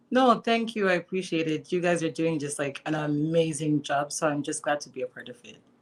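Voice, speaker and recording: Speaking with a Zimbabwean accent, a woman with a very deep, low pitch moves at a fairly quick pace with hardly any pauses, ordinary pitch variation and big swings in loudness. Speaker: filmmaker. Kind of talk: interview.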